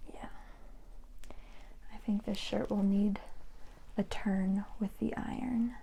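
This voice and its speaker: A soft-spoken woman with a soothing tone speaks at a very slow pace, leaving long, frequent pauses. Her pitch sits at a medium level with fairly even intonation. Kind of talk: ASMR laundry folding talk. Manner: soft-spoken, soothing, slow.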